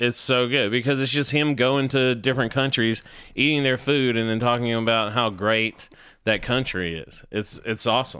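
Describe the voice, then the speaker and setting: A man with an American accent speaks at a medium pitch and moderate pace, his bright, sharp tone and fairly even intonation captured in a very clean recording with a silent background. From US South, Georgia. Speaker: comedian. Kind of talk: casual chat.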